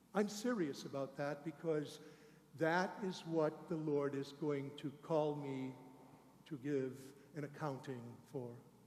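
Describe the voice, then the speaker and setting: At a fairly slow pace with long, frequent pauses, a man with a fairly high pitch and ordinary pitch variation speaks amid audible room echo. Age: 60s. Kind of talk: sermon. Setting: church.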